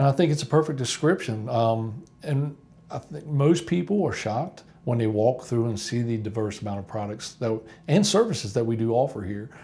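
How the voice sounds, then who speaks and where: A somewhat breathy, dark and mellow voice at a fairly quick pace, full of lively intonation. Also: man, medium pitch for a man. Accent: Appalachian. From West Virginia, US. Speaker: company employee. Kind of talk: documentary interview.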